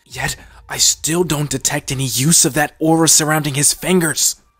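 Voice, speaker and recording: A man's put-on character voice, fairly high in pitch and at a moderate pace, dry and close with no echo, faint music in the background. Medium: read story. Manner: menacing.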